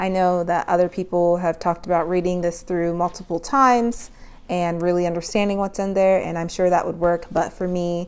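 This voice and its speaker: A woman's fairly low voice, fairly quick, in a monotone, flat intonation. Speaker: nurse and finance vlogger. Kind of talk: casual vlog tutorial.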